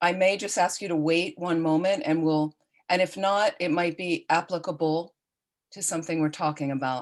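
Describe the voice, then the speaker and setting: In a normal speaking voice, a woman speaks at a moderate pace with a fairly low pitch and fairly even intonation. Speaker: Buddhist nun and teacher. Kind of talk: online dharma teaching. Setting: video call.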